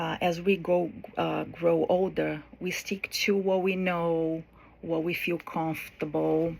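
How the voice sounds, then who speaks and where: A woman speaks with a non-native accent. Her pace is fairly slow. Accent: foreign. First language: not English. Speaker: college student. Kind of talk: class speech. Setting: recorded to camera. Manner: hesitant, with fillers.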